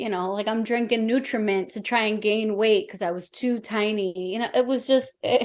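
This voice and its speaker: An American accent at a moderate pace, with fairly even intonation and hardly any pauses. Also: woman, fairly high pitch for a woman. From New York, the Bronx. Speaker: sports reporter. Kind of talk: interview chat.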